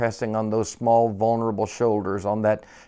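Just a natural reading voice, nothing more.

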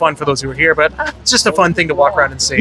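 A man talks at a very fast pace. The sound is dry with no echo, and there is noticeable background noise. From Niagara Falls. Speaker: convention attendee interviewed, aspiring radio broadcaster. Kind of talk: interview answer. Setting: outdoors at a convention. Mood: relaxed, friendly. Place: street. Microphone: handheld.

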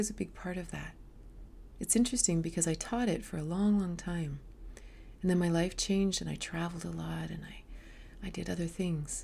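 A woman talks at a fairly quick pace, her loudness swinging widely. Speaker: yoga teacher. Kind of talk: casual vlog chat. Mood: calm, reflective. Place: home room. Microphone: webcam.

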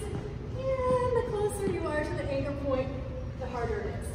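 Strong room echo and noticeable background noise surround a woman's voice. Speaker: fitness instructor. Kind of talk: tutorial. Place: gym. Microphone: camera far.

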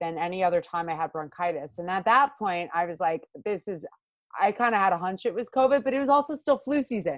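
A woman in a Long Island accent, with lively intonation and a fairly quick pace against a quiet background. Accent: Long Island New York. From US Northeast, Long Island, New York. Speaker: pro adventure racer. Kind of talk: interview. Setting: remote call.

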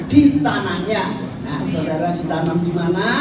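The recording has audible room echo. Loud background noise is present throughout. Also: woman. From Indonesia. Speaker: preacher. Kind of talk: sermon with fervent prayer. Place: hall. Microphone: pa.

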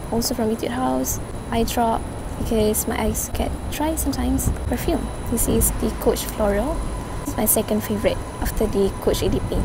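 A woman is heard over loud background noise, the sound dry with no echo. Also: moderate pace. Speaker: vlogger. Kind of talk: casual vlog chat. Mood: relaxed, playful. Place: cafe. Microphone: phone near.

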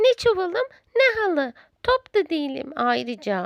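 Using a put-on character voice, a woman projects a raised voice at an extremely high pitch and a moderate pace. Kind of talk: bedtime story. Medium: read story. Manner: soft, timid.

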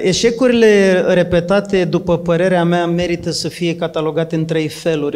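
A man's high-pitched voice with fairly even intonation. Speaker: trainer and coach. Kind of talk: talk answering a question, structured explanation. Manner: structured, methodical. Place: hall. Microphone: handheld.

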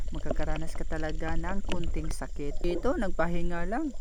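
Noticeable background noise behind a man's lively intonation at a fairly slow pace. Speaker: underwater fishing vlogger. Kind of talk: vlog narration with a pitchman's patter, playful spearfishing commentary.

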